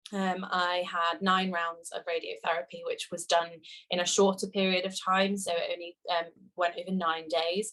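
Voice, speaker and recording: A woman with a West Midlands accent speaks at a fairly low pitch and fairly slow pace. Her tone is bright and sharp, and her intonation is monotone and flat. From England, Shropshire. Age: 20s. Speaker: cancer patient. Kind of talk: testimony. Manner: hesitant, many fillers.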